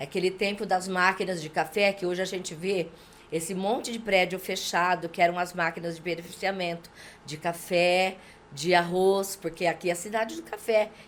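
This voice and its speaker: Using an unremarkable speaking voice, this woman keeps a medium pitch, a moderate pace, and fairly even intonation. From Brazil, interior of São Paulo state (Junqueirópolis). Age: 60s. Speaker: local politician. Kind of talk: podcast interview, life story.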